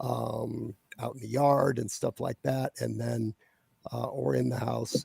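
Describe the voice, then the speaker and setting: The sound is dry and close, with no echo. A man talks at a fairly slow pace. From US Midwest, Ohio. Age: 60s. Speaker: fantasy author. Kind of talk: interview. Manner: halting, many fillers and repetitions.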